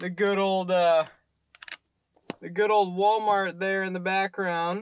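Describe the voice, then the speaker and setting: A man's bright, sharp voice at a moderate pace, dry with no echo, against a quiet background. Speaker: vlogger. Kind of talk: casual vlog chat. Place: car. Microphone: phone near.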